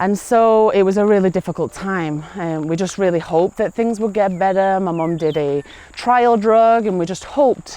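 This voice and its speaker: This woman has a dark, mellow tone, a medium pitch and an American accent, with ordinary pitch variation. She talks at a moderate pace with hardly any pauses, in a quiet background. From England, Manchester. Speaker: teacher sharing faith story. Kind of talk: personal testimony. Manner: hesitant, many fillers.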